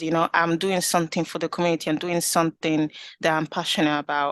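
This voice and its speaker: In a slight Italian accent, a woman with a fairly low voice speaks in a monotone, flat way against a quiet background. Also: dry, close sound with no echo. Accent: Italian accent, slight now. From Italy. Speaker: community group founder. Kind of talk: interview.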